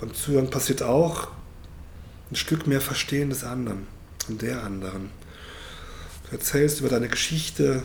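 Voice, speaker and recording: A man speaks at a moderate pace with medium pitch and ordinary pitch variation. There is noticeable background noise and audible room echo. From Germany, North Rhine-Westphalia. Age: 50s. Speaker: historian and storytelling-circle moderator. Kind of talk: moderated storytelling circle and interview. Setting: public library event room.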